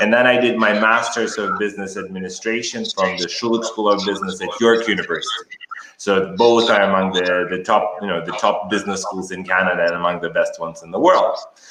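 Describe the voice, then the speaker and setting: A man talks at a fairly quick pace in a fairly low pitch, with hardly any pauses. Noticeable background noise and audible room echo fill the recording. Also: fairly even intonation. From Kazakhstan. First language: Russian. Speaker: educator and author. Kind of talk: interview.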